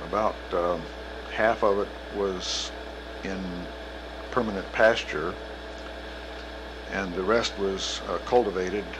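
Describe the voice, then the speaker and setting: A man with an American accent speaks at a fairly slow pace and a fairly low pitch, with fairly even intonation and long, frequent pauses. Noticeable background noise and audible room echo fill the recording. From Kansas, US Midwest. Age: 60s. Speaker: retired professor. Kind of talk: oral history interview. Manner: hesitant, with many fillers.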